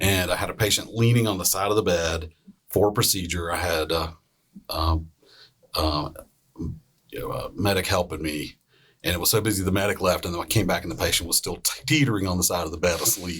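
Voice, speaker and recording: Very deep, low pitch from a man speaking at a fairly quick pace. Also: ordinary pitch variation. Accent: Southern US. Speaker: emergency physician. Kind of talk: casual storytelling on a panel podcast.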